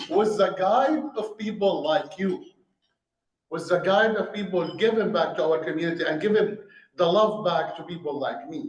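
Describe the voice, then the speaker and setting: With an Arabic accent, a man speaks at a moderate pace in a high pitch, using ordinary pitch variation. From Syria. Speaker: restaurant owner. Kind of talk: speech to a club audience.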